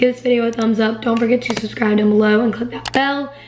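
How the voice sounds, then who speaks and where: A woman speaks in a fairly high, monotone voice with flat intonation. Noticeable background noise runs underneath. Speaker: beauty vlogger. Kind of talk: tutorial.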